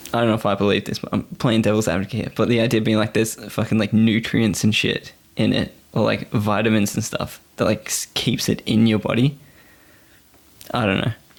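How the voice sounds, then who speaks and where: With monotone, flat intonation, a man speaks at a fairly quick pace in a fairly low pitch. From Australia, Gold Coast (moved from England at five). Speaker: podcast guest. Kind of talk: casual chat.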